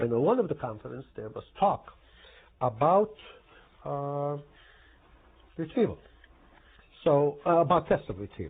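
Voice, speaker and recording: Speaking at a moderate pace with a Croatian accent, a man lets his pitch swing very widely. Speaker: professor. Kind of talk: oral history interview. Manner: hesitant, many fillers.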